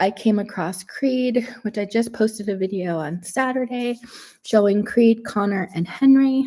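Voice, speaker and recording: Somewhat breathy, dark and mellow tone from a woman at a fairly high pitch, with ordinary pitch variation and a fairly slow pace. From Canada, Toronto. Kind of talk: live stream chat.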